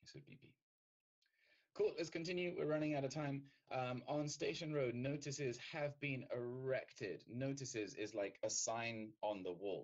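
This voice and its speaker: With a British accent, a man talks at a moderate pace with lively intonation. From Britain. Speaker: English teacher. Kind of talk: lecture.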